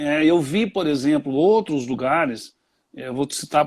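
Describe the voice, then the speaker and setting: A man's fairly high voice with ordinary pitch variation at a fairly slow pace. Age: 60s. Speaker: tourism expert. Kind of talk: interview. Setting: live stream on Instagram. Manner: halting, many fillers.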